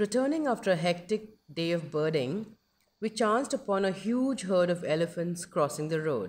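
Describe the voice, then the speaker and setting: This woman has an ordinary speaking voice at a medium pitch and a moderate pace. The recording is very clean, with a silent background. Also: lively intonation. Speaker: wildlife documentary narrator. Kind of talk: scripted nature documentary narration, dramatic and reverential. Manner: measured, storytelling pace with awed, hushed reverence.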